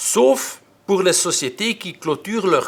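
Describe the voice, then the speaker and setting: A man with a Dutch accent and a fairly high pitch speaks with very wide pitch swings. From Flanders, Belgium. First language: Dutch (speaking French). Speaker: tax expert. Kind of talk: lecture. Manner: hesitant, frequent filler sounds.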